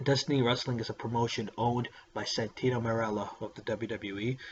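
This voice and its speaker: A man's medium-pitched voice runs fairly quickly in a flat monotone, with noticeable noise behind it. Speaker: wrestling vlogger. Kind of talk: casual vlog. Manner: halting, many fillers.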